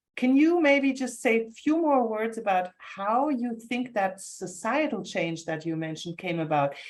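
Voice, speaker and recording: This woman has a fairly high pitch. Her voice moves in very wide pitch swings. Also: moderate pace, hardly any pauses. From Germany. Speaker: moderator. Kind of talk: panel moderation.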